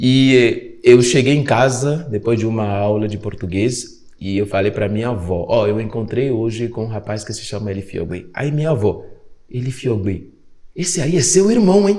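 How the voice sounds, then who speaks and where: With a dark, mellow tone, a man speaks at a medium pitch and a moderate pace, his intonation lively. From Benin. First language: Fongbe (speaking Portuguese). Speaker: podcast host and African culture educator. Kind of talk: podcast conversation.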